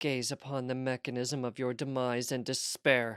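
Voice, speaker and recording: Putting on a character voice, a man growls at medium pitch in a monotone, flat intonation at a moderate pace, on a very clean recording with a silent background. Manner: growling, dramatic.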